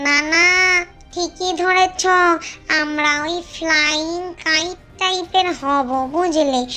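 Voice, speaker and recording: An extremely high, squeaky cartoonish character voice moves at a very slow pace over clear background noise. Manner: easygoing, chatty.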